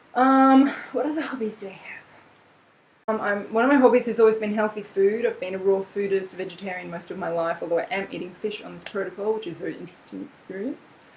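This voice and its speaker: Noticeable background noise sits behind a woman speaking very fast at a medium pitch. Her loudness swings widely, while her pitch varies in an ordinary way. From Australia. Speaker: vlogger. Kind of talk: casual vlog chat. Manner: chatty, animated.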